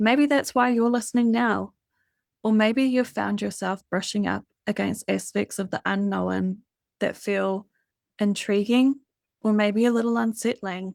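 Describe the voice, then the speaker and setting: A woman with a New Zealand accent speaks at a fairly high pitch and a fairly slow pace, her tone gentle and calm and her intonation fairly even. The sound is dry and close with no echo, in a very clean recording with a silent background. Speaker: spiritual hypnotherapist and podcast host. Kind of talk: scripted podcast monologue. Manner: gentle, calm.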